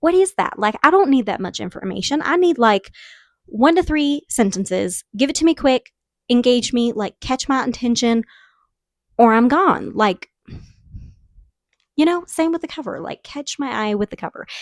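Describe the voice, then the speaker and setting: With a slight Southern US accent, a woman talks in a high voice that swings very widely in pitch, leaving long, frequent pauses, and the sound is dry and close with no echo. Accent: southern drawl, slight. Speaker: book reviewer. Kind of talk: casual chat. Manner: animated.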